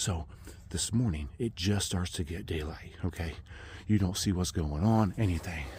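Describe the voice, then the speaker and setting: A man speaks quietly and somewhat breathily at a moderate pace, his very deep, low pitch showing ordinary variation. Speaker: hunter and vlogger. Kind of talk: outdoor vlog storytelling. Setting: outdoors in the woods. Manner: hushed, kept low; animated.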